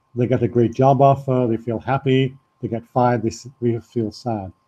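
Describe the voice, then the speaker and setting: This man has a Liverpool accent and a medium pitch. He talks at a moderate pace. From northern England, Liverpool. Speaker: spiritual teacher and former mountain guide. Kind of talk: online talk with slides, self-presentation. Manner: halting, with fillers.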